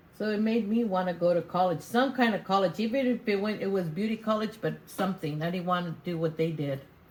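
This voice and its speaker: A woman's somewhat breathy, medium-pitched voice at a very fast pace, with ordinary pitch variation and hardly any pauses. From US, Mexican-American community. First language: Spanish. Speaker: interviewee. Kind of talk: interview.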